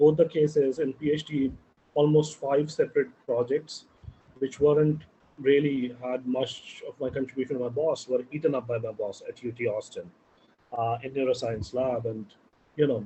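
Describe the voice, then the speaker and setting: Speaking at a moderate pace, a man uses a fairly high, somewhat breathy voice with fairly even intonation. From India. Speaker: entrepreneur and scientist. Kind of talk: interview.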